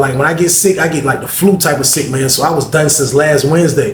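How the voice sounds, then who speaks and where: Talking at a very fast pace, a man uses a fairly high pitch and fairly even intonation. Room echo is audible, and background noise is noticeable. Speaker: storytelling vlogger. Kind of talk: casual storytelling monologue.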